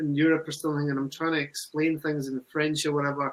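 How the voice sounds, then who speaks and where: The speaker moves at a moderate pace in a Scottish accent. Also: man. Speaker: recovery program manager. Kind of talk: webinar discussion.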